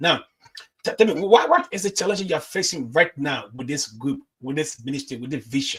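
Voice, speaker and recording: An unremarkable speaking voice from a man, fairly high in pitch, with a fairly quick pace, lively intonation and big swings in loudness. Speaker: evangelist and online show host. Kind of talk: interview.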